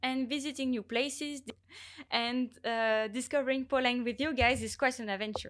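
A woman with a French accent speaks at a high pitch and a moderate pace. The recording is very clean, with a silent background. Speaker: international volunteer. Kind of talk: casual chat. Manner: halting.

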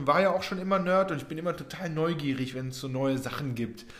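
Speech at a fairly quick pace with ordinary pitch variation comes through audible room echo and noticeable background noise. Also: man. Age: 30s. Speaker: podcast host, growth hacking trainer. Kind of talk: casual solo podcast talk. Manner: animated, many fillers.

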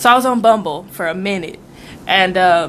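Noticeable background noise sits behind this woman's voice. Her pitch is medium, with ordinary variation. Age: 20s. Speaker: podcast co-host. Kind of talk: casual chat.

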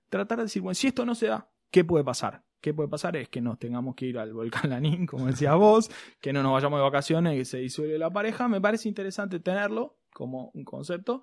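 In a very clean recording with a silent background, a man talks at a very fast pace with a fairly high pitch and very wide pitch swings. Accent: Rioplatense. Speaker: podcast host. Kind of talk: casual chat.

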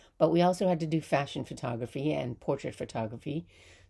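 A dark, mellow voice with ordinary pitch variation, in an American accent. The recording is very clean, with a silent background. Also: woman. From US Northeast, Hudson Valley New York. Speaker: podcast host, storyteller. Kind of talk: personal storytelling monologue.

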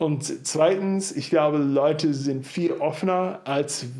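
With audible room echo, a man speaks very slowly at a fairly high pitch with ordinary pitch variation. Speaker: church planter. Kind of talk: interview. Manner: talkative.

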